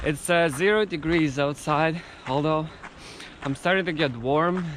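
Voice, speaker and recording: A man with a Russian accent speaks at a fairly high pitch and a fairly slow pace, with long, frequent pauses. His loudness stays very even. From Siberia, Russia. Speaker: vlogger, PhD student. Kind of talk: travel vlog talking to camera. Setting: outdoors. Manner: halting.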